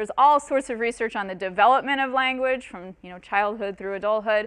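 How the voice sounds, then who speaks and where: The tone is bright and sharp, the pace very fast, the pitch variation ordinary and the background quiet. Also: woman. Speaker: professor. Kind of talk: lecture.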